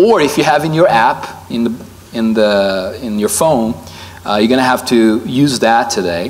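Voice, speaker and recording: Fairly slow speech from a man. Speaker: preacher. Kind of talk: sermon. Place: hall. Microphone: lapel.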